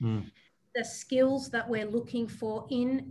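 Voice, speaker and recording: A woman with a normal speaking voice talks at a fairly slow pace, her fairly high pitch showing ordinary variation. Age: 30s. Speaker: recruitment company CEO. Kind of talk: casual chat.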